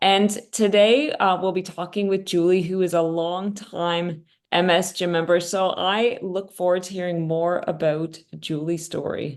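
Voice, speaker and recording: Against a quiet background, a woman with a Canadian accent talks at a moderate pace in a normal speaking voice, medium in pitch with ordinary pitch variation. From Canada. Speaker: podcast host. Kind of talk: podcast interview.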